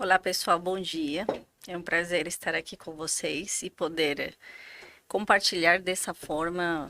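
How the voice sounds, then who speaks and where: Her tone is bright and sharp, set fairly low for a woman. She speaks fairly slowly, in a monotone with flat intonation. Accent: Bolivian. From Bolivia. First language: Spanish (speaking Portuguese). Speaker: physician, finance director. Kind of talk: podcast interview.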